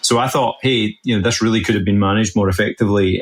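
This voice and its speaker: A man with a Scottish accent, fairly low in pitch and very fast, over music in the background. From west coast of Scotland. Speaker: health tech CEO. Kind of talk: interview.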